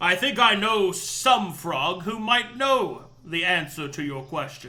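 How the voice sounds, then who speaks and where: A fairly slow, high-pitched put-on character voice from a man. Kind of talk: fantasy role-play.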